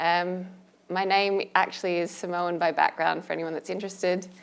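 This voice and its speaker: Speaking in an Australian accent, a woman holds a monotone, flat intonation at a fairly low pitch and a moderate pace. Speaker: asset management panelist. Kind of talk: panel discussion.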